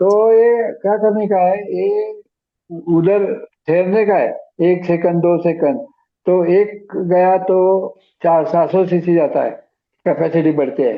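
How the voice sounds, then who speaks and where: This man's voice sits high in pitch, with very even loudness and ordinary pitch variation. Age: 70s. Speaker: ALS patient sharing recovery experience. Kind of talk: group video meeting advice.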